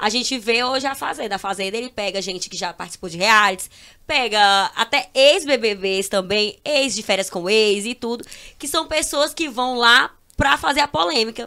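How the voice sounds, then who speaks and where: A woman's bright, sharp, fairly high voice at a moderate pace, with lively intonation and big swings in loudness, in a very clean recording over a silent background. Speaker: social media influencer. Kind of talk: casual chat.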